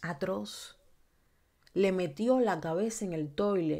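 A woman speaks in an animated tone at medium pitch with ordinary pitch variation. The background is quiet. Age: 30s. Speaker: YouTube true crime streamer. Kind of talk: livestream commentary. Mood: indignant, emphatic. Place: home room. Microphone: studio mic.

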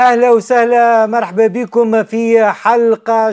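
A man talks at a very slow pace in a high voice with monotone, flat intonation. The background is quiet. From Tunisia. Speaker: talk show host. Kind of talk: talk show discussion. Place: studio. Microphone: lapel.

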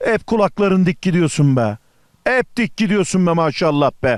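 The tone is upbeat and cheerful. The intonation is lively. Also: man, very clean recording, silent background. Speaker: TV travel show host. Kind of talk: TV travel show presenting, street interview. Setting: outdoors. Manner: upbeat, cheerful.

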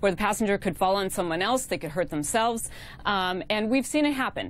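Talking at a fairly quick pace, a woman is heard. The sound is dry, with no echo. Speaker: remote news guest. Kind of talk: interview answer. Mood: calm, explanatory. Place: studio. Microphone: lapel.

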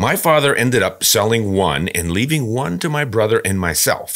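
A man's lively intonation against a quiet background. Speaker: podcast host. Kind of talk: podcast reading and commentary. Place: studio. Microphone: studio mic.

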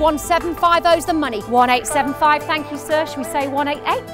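Clear background music accompanies the recording. Over it, a woman talks fairly quickly. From Sydney, Australia. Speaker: real estate auctioneer. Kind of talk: auction bidding call. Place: street.

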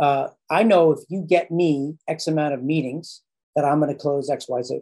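A man with a dark, mellow tone keeps his intonation fairly even, and the background is quiet. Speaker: marketing coach. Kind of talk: explanatory call conversation. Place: home room. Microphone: studio mic.

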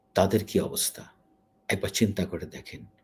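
The man's voice comes across as somewhat breathy. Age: 50s. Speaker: YouTube news commentator. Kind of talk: emotional news commentary. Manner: halting.

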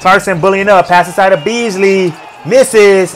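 Over light background noise, a man with a high pitch speaks at a moderate pace. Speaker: sports reaction YouTuber. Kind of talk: casual play-by-play reaction commentary over game highlights. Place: home room. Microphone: webcam.

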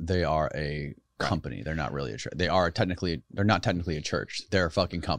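A man with a very deep, low pitch and vocal fry speaks at a very fast pace with ordinary pitch variation. The sound is dry with no echo against a quiet background. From US, Florida. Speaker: podcast host. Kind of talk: casual interview. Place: studio. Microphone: studio mic.

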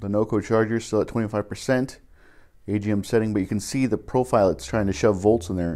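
Ordinary pitch variation marks a man's fairly low voice with a dark, mellow tone. He keeps a moderate pace. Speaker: DIY car repair channel host. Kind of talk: tutorial. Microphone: phone near.

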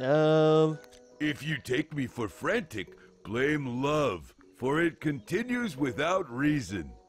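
Over faint music in the background, a man does a put-on character voice at fairly high pitch and a very slow pace. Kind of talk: archaic pirate speech.

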